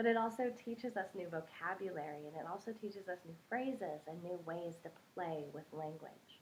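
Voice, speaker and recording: A woman with an American accent uses a normal speaking voice at medium pitch, a fairly quick pace and ordinary pitch variation. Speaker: English teacher (ESL). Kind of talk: casual talk to camera, educational explanation.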